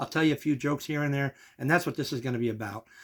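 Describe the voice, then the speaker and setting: A man's fairly high voice with an American accent on a very clean recording with a silent background. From New Jersey (Kearny). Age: 60s. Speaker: vlogger, amateur comedian. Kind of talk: casual vlog monologue. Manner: conversational, warm and informal.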